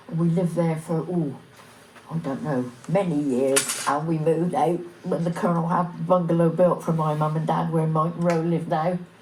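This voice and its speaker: A woman's fairly low voice at a moderate pace, fairly even in intonation, with audible room echo and noticeable background noise. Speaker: village elder recalling local history. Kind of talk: oral history reminiscence.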